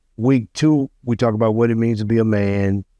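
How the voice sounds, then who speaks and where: In a dry, close sound with no echo, a man talks at a medium pitch in a dark, mellow tone with ordinary pitch variation. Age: 60s. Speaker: fatherhood mentor. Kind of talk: casual interview chat.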